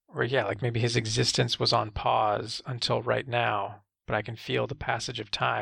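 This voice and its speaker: In a very clean recording with a silent background, a man with vocal fry and a bright, sharp tone speaks at a moderate pace. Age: 30s. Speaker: comic shop podcast host. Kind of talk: casual chat.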